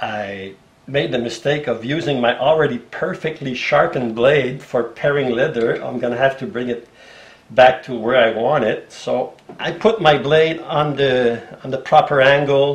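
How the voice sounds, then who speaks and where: Delivered at a moderate pace, the speech shows ordinary pitch variation. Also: man, medium pitch for a man. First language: French. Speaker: bookbinder and leather craftsman. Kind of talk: tutorial. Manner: halting, with fillers and restarts.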